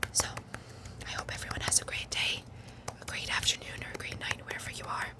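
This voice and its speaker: Someone whispers at a very fast pace with an American accent amid noticeable background noise. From US East Coast. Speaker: ASMR creator. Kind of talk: ASMR casual rambling. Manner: soft-spoken.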